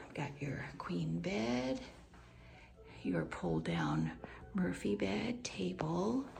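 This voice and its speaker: The speech is very slow, with long, frequent pauses and very even loudness, set against noticeable background noise and audible room echo. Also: woman. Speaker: travel vlogger. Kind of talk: room tour narration. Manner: casual, chatty.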